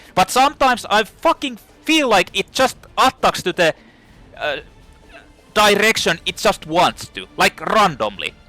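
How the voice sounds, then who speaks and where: Over background music, a man with a non-native accent and a high pitch speaks at a fairly slow pace in a raised, projected voice with lively intonation and long, frequent pauses, the sound dry and close with no echo. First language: not English. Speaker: gaming YouTuber. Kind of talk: gameplay commentary rant. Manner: animated; halting.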